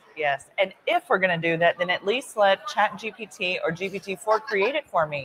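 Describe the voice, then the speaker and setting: With an American accent, a woman talks with lively intonation and hardly any pauses over noticeable background noise. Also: medium pitch for a woman, moderate pace, dry, close sound with no echo. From Texas, Dallas. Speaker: lawyer. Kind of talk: interview. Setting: conference floor.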